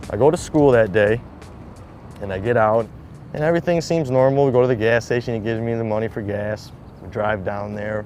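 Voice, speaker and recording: Fairly quick speech from a man, pitch varying in an ordinary way. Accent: Detroit. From Michigan, Detroit suburbs. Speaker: shooting survivor and skateboarder. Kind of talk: personal testimony interview. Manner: casual, filler-heavy.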